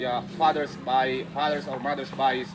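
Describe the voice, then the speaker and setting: Noticeable background noise sits behind this recording. A man speaks slowly-ish, at a fairly slow pace, with a fairly high pitch. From Indonesia. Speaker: English teacher. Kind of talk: panel discussion. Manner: halting.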